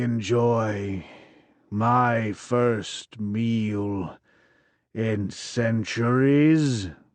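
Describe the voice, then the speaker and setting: A man puts on a booming character voice at a medium pitch. He speaks at a very slow pace. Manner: bellowing.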